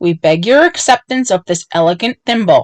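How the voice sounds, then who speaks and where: A woman performs a put-on character voice. Her pitch is fairly high. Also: moderate pace. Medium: read story. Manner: grave, solemn.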